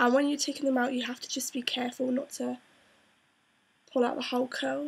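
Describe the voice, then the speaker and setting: This woman's voice is high-pitched, with ordinary pitch variation. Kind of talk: hair tutorial talk to camera.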